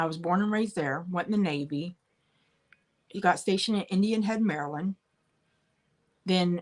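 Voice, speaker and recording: A woman with an American accent talks at a fairly low pitch, and the sound is dry and close with no echo. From central Pennsylvania (Bedford). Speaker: online live-sale seller. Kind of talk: live stream chat with viewers.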